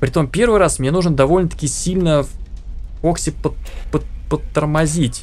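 Music plays behind a man talking at a fairly quick pace. His pitch variation is ordinary. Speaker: gameplay streamer. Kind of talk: gameplay commentary. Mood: excited, occasionally startled.

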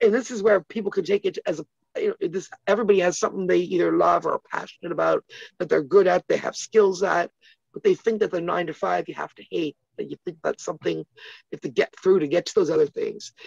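Very fast speech with big swings in loudness, dry with no echo, over a quiet background. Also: woman. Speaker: interview guest. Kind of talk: interview answer. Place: home room. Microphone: phone near.

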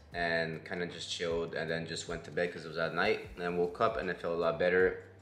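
Faint music sits in the background and the room echo is audible as a man speaks with a very deep, low pitch. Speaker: vlogger. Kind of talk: casual vlog chat. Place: home room. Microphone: phone near.

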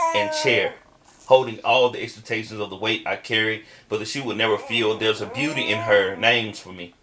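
A man with an American accent, fairly quick pace, fairly even intonation, big swings in loudness, and noticeable background noise. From US South. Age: middle-aged. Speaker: spoken word poet. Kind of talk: spoken word poetry performance. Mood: warm, tender, gently humorous. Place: home room. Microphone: phone near.

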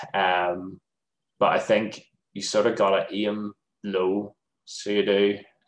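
A man with a Northern Irish accent speaks very slowly in a fairly low voice, with long, frequent pauses and monotone, flat intonation. Audible room echo surrounds him. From Northern Ireland. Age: 30s. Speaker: games developer; lecturer. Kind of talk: presentation; interview answer. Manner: casual, hesitant with many fillers. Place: home room. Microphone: webcam.

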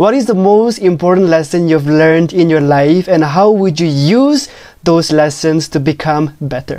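A man speaks at a fairly high pitch with a dark, mellow tone and ordinary pitch variation. His pace is moderate, and the background is quiet. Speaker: talk show host. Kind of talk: casual interview. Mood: friendly, smiling. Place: home room. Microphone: lapel.

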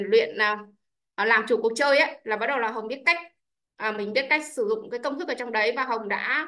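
A woman at a very fast pace, ordinary pitch variation, quiet background. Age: 30s. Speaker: businesswoman. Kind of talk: testimony. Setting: video call. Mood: grateful, upbeat. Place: home room. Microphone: video call.

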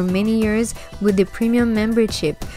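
Someone with a French accent speaks at a moderate pace with ordinary pitch variation, with music playing in the background. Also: woman. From France. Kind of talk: documentary narration.

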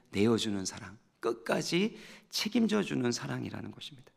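Against a quiet background, a man talks at a moderate pace. His medium-pitched voice has vocal fry. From South Korea. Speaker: pastor. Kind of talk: sermon. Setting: church. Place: church. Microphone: headset.

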